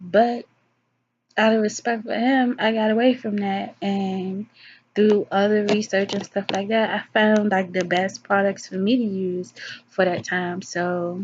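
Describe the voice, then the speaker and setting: A somewhat breathy woman's voice at medium pitch, fairly even in intonation, at a fairly slow pace. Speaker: vlogger giving advice to women. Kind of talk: casual monologue vlog. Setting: alone, self-recorded video.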